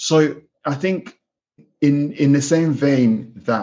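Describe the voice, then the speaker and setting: A man with a Kenyan accent. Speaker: pig farm manager. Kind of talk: podcast interview.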